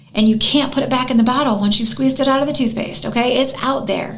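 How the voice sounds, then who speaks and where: With an American accent, a woman speaks at a very fast pace in a high pitch, her tone animated and her loudness very even, amid noticeable background noise and audible room echo. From US Midwest, Northwest Indiana. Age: 50s. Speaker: anti-bullying advocate. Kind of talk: radio interview.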